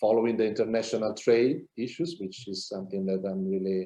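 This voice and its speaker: Here a man speaks with an Italian accent at a moderate pace. His tone is dark and mellow. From Italy. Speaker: business consultant. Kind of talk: interview. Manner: halting.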